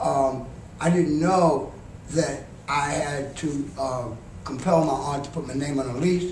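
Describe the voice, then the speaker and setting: The intonation stays fairly even. Noticeable background noise and audible room echo are present. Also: man. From New York City (Harlem), Southern roots. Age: 70s. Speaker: homeless advocate, panelist. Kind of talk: panel talk. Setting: conference panel with audience.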